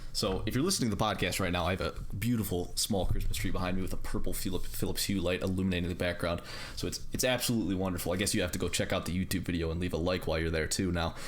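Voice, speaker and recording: A man with a very deep, low pitch, a very fast pace, very even loudness, fairly even intonation and audible room echo. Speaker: podcast host. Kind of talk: casual chat. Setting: online voice call. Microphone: audio cutting out.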